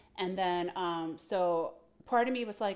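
A woman talks in an ordinary speaking voice at a fairly slow pace. Her pitch variation is ordinary. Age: 40s. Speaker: podcast co-host. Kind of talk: casual chat.

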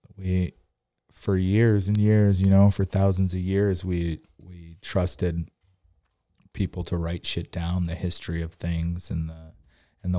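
A man's very deep, low pitch in a dark, mellow tone, with monotone, flat intonation. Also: very clean recording, silent background. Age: 30s. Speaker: podcast host. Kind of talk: casual monologue. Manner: rambling, casual.

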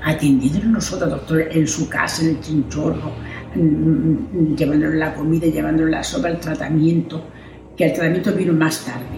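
Noticeable background noise and audible room echo surround a woman's very deep, low voice. She speaks at a moderate pace with fairly even intonation. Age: 80s+. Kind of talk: interview testimony.

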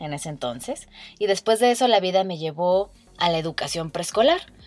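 Over music in the background, a woman with a medium-pitched voice speaks fairly slowly, her pitch swinging very widely. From Mexico, Guadalajara, Jalisco. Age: 20s. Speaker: podcast host, meditation guide. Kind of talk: casual personal monologue.

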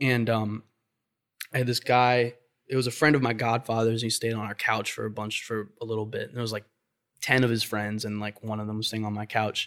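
A man talks at a fairly quick pace and medium pitch in a monotone, flat intonation. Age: 20s. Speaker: artist and painter. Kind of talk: casual interview. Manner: halting.

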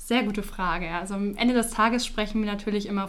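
A woman with a fairly high pitch speaks in fairly even intonation, with audible room echo. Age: 20s. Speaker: insurance product marketer. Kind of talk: podcast interview.

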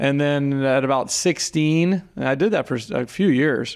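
A man with an American accent and an unremarkable speaking voice, fairly high in pitch with ordinary pitch variation, on a very clean recording with a silent background. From Florida. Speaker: golf course superintendent. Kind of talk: interview. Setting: in person, clubhouse.

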